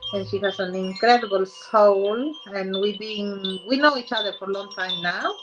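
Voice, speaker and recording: Over background music, a woman speaks at a moderate pace and medium pitch with ordinary pitch variation and hardly any pauses. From Peru. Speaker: spiritual show host. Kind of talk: interview.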